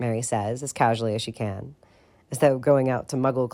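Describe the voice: Just plain reading aloud.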